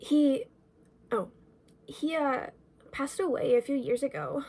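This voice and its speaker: A woman's put-on character voice, high-pitched and mumbling, with lively intonation at a moderate pace. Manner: mumbling, hesitant.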